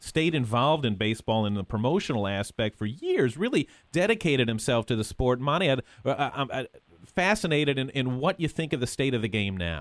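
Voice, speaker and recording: At a fairly quick pace, a man talks in a medium pitch with a normal speaking voice. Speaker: radio host. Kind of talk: radio interview, casual chat.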